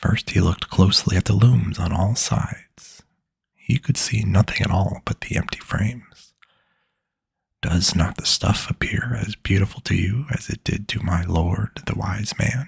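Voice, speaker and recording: A man whispers at a moderate pace. The sound is dry and close, with no echo. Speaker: ASMR storyteller. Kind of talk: bedtime story reading. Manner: soft-spoken.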